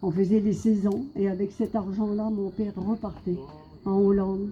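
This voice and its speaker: Speaking at a moderate pace, a woman has a medium-pitched voice. Her tone is dark and mellow, and somewhat breathy. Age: 70s. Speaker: evangelical preacher. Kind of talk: sermon testimony.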